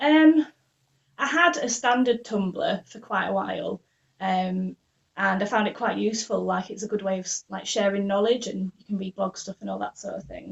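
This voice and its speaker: In a Yorkshire accent, a woman speaks at a medium pitch and a moderate pace. Her pitch varies in an ordinary way, while her loudness swings widely. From northern England, Leeds. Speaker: ferret raw-feeding blogger. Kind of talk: podcast interview.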